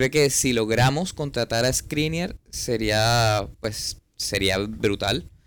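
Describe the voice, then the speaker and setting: This man talks at a very slow pace with hardly any pauses, his pitch medium and his intonation lively. His loudness swings widely from moment to moment. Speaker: podcast co-host, football fan. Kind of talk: casual chat. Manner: halting, repeats words.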